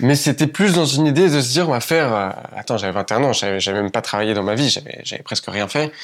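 A man of medium pitch rattles along at a very fast pace with lively intonation. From France, Paris region countryside. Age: 20s. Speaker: entrepreneur. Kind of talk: casual interview chat.

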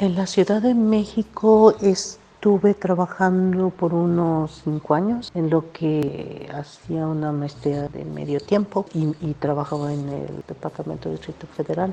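The speaker goes at a fairly slow pace with hardly any pauses and ordinary pitch variation. Loudness swings widely, over noticeable background noise. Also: woman, fairly low pitch for a woman. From Mexico, Veracruz (Xalapa). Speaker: environmental scientist, professor. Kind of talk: interview. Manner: halting.

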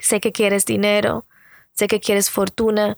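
With a dry, close sound and no echo, a woman talks at a fairly slow pace and medium pitch. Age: 30s. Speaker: podcast host and beauty vlogger. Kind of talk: casual motivational monologue.

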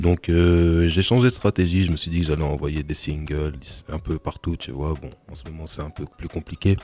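A man's very deep, low voice with a dark, mellow tone, big swings in loudness, ordinary pitch variation and a moderate pace. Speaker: rapper. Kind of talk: casual interview.

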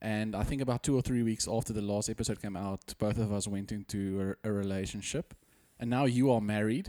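Speaking with a South African accent at a fairly quick pace, a man has a fairly low pitch and a dark, mellow tone with fairly even intonation. The recording is very clean, with a silent background, and the sound is dry and close with no echo. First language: Afrikaans. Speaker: podcast co-host. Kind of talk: casual chat.

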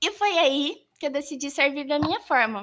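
Her pitch swings very widely. This woman talks in a raised, projected voice, bright and sharp in tone. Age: 20s. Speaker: scout leader and YouTuber. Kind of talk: casual chat.

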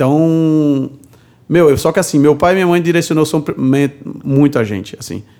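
This man's voice has a dark, mellow tone and a fairly high pitch. He moves at a moderate pace with ordinary pitch variation. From Brazil, Paraíba (Cariri, Juazeirinho). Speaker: bartender. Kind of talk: interview.

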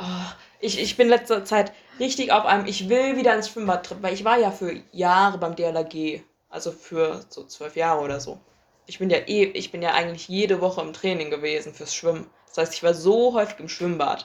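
A woman talks at a moderate pace and medium pitch, with ordinary pitch variation and big swings in loudness. It is an ordinary speaking voice. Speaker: podcast co-host. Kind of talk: casual chat. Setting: same room recording. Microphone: low quality recording.

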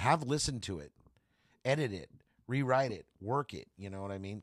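With an American accent, a man at medium pitch speaks in an animated tone with lively intonation, and the recording is very clean with a silent background. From California Central Valley. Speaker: comedian and Marine veteran. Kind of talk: casual chat.

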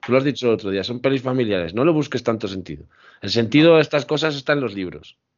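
At a very fast pace, a man speaks with medium pitch and lively intonation. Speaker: podcast co-host. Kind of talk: casual chat.

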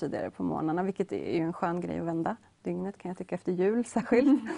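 Here a woman speaks very fast. Her voice is medium in pitch. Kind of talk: interview chat.

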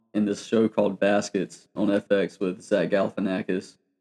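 The voice has a dark, mellow tone and an American accent, moving at a fairly slow pace with monotone, flat intonation in a dry, close sound with no echo. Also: man. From US South, Georgia. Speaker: podcast co-host. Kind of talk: casual chat.

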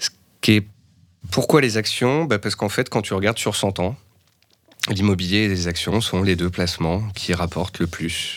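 At a moderate pace, the speaker leaves long, frequent pauses, with ordinary pitch variation. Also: man, fairly low pitch for a man. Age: 30s. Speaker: stock market analyst. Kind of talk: casual interview.

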